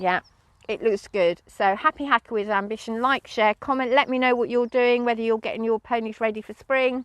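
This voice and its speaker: A woman speaks in an English accent at a fairly high pitch with fairly even intonation. The sound is dry and close with no echo, over a quiet background. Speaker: podcaster and horse owner. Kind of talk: casual vlog chat. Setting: outdoors.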